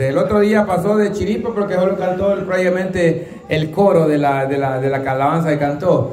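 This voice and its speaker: With audible room echo and light background noise, a man speaks at a fairly slow pace in a high pitch with ordinary pitch variation. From El Salvador. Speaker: host of a rural singing contest. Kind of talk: casual contest hosting. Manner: animated. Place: hall. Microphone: camera far.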